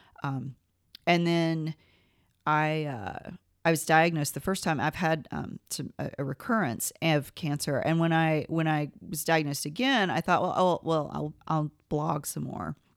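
The speaker has an American accent and ordinary pitch variation at a fairly slow pace. The recording is very clean, with a silent background. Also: woman, very deep, low pitch for a woman. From US South, northern Georgia. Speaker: English professor and writer. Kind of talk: casual interview chat.

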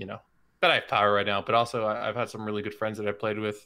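On a very clean recording with a silent background, a man talks in a fairly low pitch with a bright, sharp tone and monotone, flat intonation. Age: 20s. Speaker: esports coach and observer. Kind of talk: casual interview.

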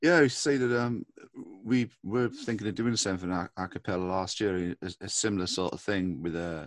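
The man's pitch is very deep and low, with ordinary variation. He keeps a moderate pace. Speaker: co-host. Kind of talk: interview.

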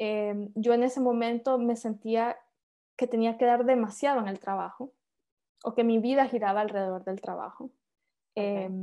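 In a Honduran accent, a woman with a dark, mellow tone and fairly high pitch speaks at a moderate pace with long, frequent pauses against a quiet background. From Honduras, San Pedro Sula. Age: 30s. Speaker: engineer and author. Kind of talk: interview.

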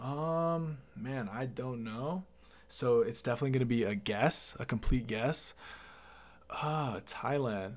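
In a very clean recording with a silent background, a man talks in an ordinary speaking voice. His pitch is medium with ordinary pitch variation, and his pace is fairly slow. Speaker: artist and musician. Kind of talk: casual chat.

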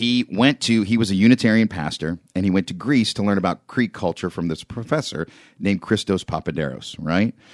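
With an American accent, this man has a fairly low pitch, a moderate pace and lively intonation, an unremarkable speaking voice recorded dry and close with no echo against a quiet background. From western Pennsylvania, near Pittsburgh. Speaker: radio DJ and promotions director. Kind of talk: casual interview.

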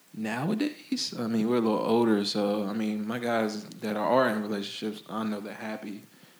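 With an American accent, a man talks at a moderate pace in a fairly low, monotone, flat voice with hardly any pauses, amid audible room echo and noticeable background noise. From Florida. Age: 20s. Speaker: clothing brand founder. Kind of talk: casual chat.

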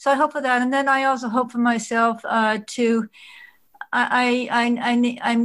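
This woman's voice is fairly high-pitched and somewhat breathy. Her intonation stays monotone and flat. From Vancouver, Canada. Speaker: event organizer and community participant. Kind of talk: group discussion over video call.

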